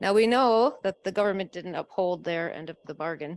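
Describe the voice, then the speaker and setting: A woman with a Canadian accent talks at a fairly quick pace with ordinary pitch variation. The recording is very clean, with a silent background. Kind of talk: panel discussion. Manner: fast.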